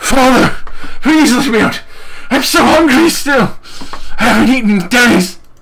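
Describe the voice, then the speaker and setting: In a put-on character voice at a fairly high pitch, the speaker keeps a moderate pace broken by long, frequent pauses over clear background noise. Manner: desperate, pleading.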